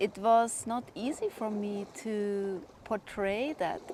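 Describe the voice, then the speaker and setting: Speaking very slowly with a German accent, a woman uses a fairly high pitch and ordinary pitch variation. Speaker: spiritual vlogger. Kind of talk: personal monologue.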